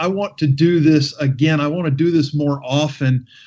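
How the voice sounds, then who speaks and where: Against a quiet background, a man with an ordinary speaking voice talks at a fairly slow pace and a fairly high pitch. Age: 40s. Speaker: radio talk show host. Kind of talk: radio talk show.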